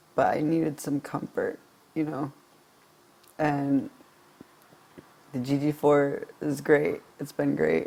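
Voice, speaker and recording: A man's shaky voice moves at a very slow pace, broken by long, frequent pauses. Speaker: vlogger. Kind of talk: personal vlog monologue. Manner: halting.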